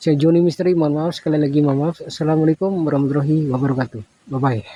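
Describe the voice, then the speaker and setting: With a fairly high pitch and fairly even intonation, a man speaks at a very fast pace. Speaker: ghost-hunting live streamer. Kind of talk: live stream vlog. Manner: halting with many fillers. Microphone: handheld phone, no tripod.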